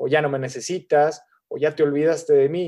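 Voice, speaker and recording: A man talks at a moderate pace with fairly even intonation and a fairly high pitch. He has an ordinary speaking voice. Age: 30s. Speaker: gerontologist. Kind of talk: lecture. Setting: webinar.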